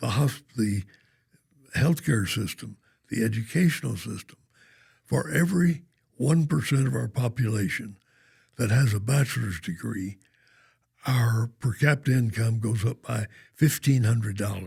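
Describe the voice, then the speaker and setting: At a moderate pace, a man with an American accent speaks at medium pitch with lively intonation, vocal fry, and long, frequent pauses. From Oklahoma (Norman). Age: 90s (95). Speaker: banker and philanthropist. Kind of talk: podcast interview.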